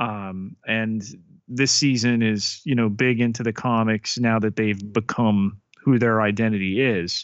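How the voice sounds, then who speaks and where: A man speaks at a fairly slow pace in a normal speaking voice, his pitch medium. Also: fairly even intonation. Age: 40s. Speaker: podcast co-host. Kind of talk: casual chat.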